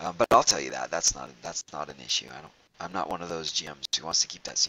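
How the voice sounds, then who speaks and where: A man's very deep, low voice with a bright, sharp tone and vocal fry, at a very fast pace, with big swings in loudness and a dry, close sound with no echo. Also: ordinary pitch variation. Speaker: game master. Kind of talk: tabletop role-playing session.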